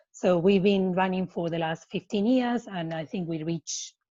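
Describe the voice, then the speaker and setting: Over a quiet background, a woman with a non-native accent speaks at a moderate pace in a dark, mellow tone. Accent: non-native English speaker. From Argentina. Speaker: non-profit program manager and coach. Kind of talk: webinar presentation.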